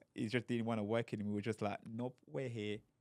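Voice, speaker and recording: A man is speaking. His fairly low voice has monotone, flat intonation. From Democratic Republic of Congo. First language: not English. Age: young. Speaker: professional boxer. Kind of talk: interview answer.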